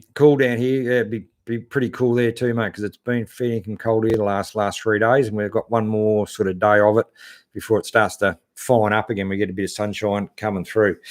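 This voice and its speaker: A man with an Australian accent at medium pitch and moderate pace, on a very clean recording with a silent background. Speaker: 4WD channel host. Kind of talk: live stream chat reading viewer comments. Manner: casual, hesitant with many fillers.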